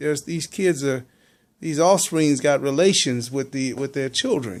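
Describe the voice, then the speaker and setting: Heard in a very clean recording against a silent background, a plain, everyday voice moves at a moderate pace with ordinary pitch variation. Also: man, fairly high pitch for a man. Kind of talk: casual conversation.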